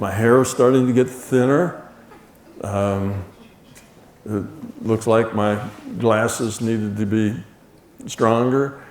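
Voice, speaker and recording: A man with an American accent speaks at medium pitch. There is noticeable background noise and audible room echo. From United States. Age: 70s. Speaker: lecturer. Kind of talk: lecture. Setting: stage with audience. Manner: casual, halting.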